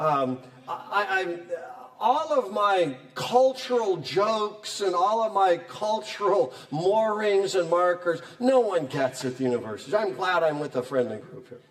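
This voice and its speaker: Audible room echo and noticeable background noise surround an animated man speaking at a fairly slow pace. His high pitch moves in very wide swings. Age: 60s. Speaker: Bible professor. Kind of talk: lecture.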